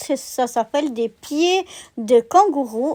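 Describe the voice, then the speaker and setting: Her voice is high-pitched, with ordinary pitch variation, in a very clean recording with a silent background and a dry, close sound with no echo. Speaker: gardening vlogger. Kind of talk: casual walkthrough vlog. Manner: hesitant, many filler pauses.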